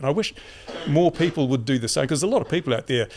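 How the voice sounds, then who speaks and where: A man with an Australian accent, very fast pace, and ordinary pitch variation. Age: 70s. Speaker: YouTuber and community advocate. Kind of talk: casual interview. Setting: podcast couch. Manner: halting.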